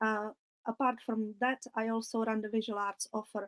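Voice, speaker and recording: Recorded dry and close with no echo, a woman speaks with a fairly high pitch and a non-native accent. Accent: foreign. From outside England, non-English country. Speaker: ceramicist and visual arts curator. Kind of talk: online webinar talk.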